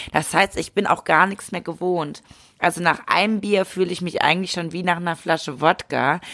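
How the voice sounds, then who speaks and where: The tone is bright and sharp. Delivery comes at a moderate pace with fairly even intonation. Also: woman, fairly low pitch for a woman. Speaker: podcast co-host. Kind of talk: casual chat. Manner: mumbling.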